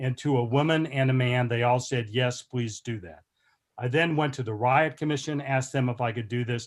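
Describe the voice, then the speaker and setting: A man with an American accent has an ordinary speaking voice at medium pitch. He speaks at a moderate pace with fairly even intonation. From Oklahoma (Tulsa). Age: 60s. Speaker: historian. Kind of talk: lecture.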